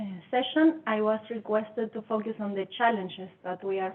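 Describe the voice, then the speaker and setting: A woman in a non-native accent with ordinary pitch variation. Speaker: scientist. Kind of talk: conference talk.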